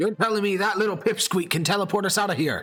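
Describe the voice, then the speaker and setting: A man performs a gruff, put-on character voice, high-pitched for a man and very fast. Faint music plays in the background. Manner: skeptical, incredulous.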